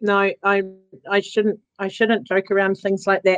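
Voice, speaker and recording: A woman's voice at a medium pitch. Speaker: community leader. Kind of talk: casual chat.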